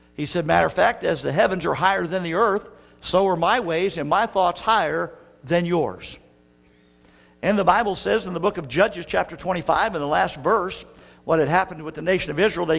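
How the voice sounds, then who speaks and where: Faint music plays behind a man speaking at a high pitch. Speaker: pastor. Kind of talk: sermon. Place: church. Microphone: podium.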